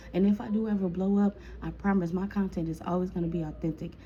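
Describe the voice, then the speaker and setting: A woman's fairly low, somewhat breathy voice with a dark, mellow tone and fairly even intonation. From Chicago. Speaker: storytime vlogger. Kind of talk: casual storytime monologue. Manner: casual, chatty.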